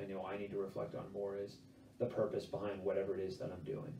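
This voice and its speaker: Speaking at a very fast pace with a fairly low pitch, a man is heard with audible room echo and light background noise. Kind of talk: interview answer. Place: home room. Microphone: camera far.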